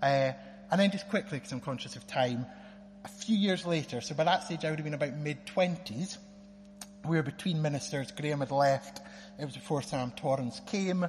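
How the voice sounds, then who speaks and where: Talking at a fairly quick pace with lively intonation, a man with a fairly high pitch speaks in a northeast Scottish accent. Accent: Scottish (north-east). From Scotland, Aberdeen. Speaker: lawyer. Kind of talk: testimony. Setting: church.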